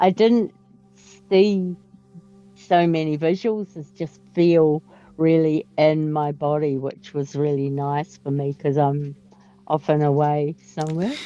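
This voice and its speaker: Very deep, low female voice at a very slow pace, with ordinary pitch variation, long, frequent pauses, and music in the background. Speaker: workshop participant. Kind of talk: sharing experience. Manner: hesitant with fillers.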